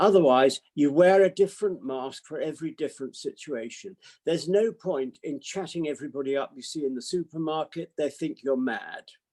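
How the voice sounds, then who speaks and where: A man with a British accent speaks fairly quickly at a fairly high pitch, with hardly any pauses and ordinary pitch variation. His tone is dark and mellow, and the sound is dry and close with no echo. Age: 80s. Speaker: psychiatrist. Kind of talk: talk to online audience.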